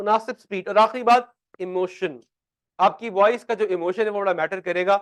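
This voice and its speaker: A man speaks loudly at a high pitch and a moderate pace. The sound is dry and close, without echo. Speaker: accounting teacher. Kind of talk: lecture. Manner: animated.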